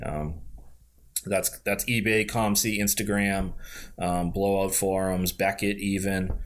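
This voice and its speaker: A man with an American accent talks at a fairly low pitch and a moderate pace. He has an unremarkable speaking voice. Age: 30s. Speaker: basketball card collector. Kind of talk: casual chat.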